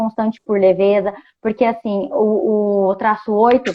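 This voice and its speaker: This woman's voice sits at a fairly high pitch. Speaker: enneagram coach. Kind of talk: casual chat. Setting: video call.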